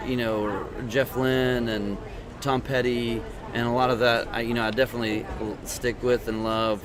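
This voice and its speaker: Noticeable background noise and audible room echo surround a man who speaks at a moderate pace in a monotone, flat intonation. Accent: East Texas. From East Texas. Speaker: country singer-songwriter. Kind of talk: interview. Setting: podcast interview in Tyler, Texas. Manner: halting, many fillers.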